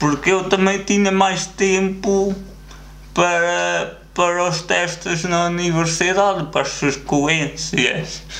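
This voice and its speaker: A man with a high pitch speaks at a very slow pace and fairly even intonation. Audible room echo surrounds his voice. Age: 20s. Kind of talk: casual chat.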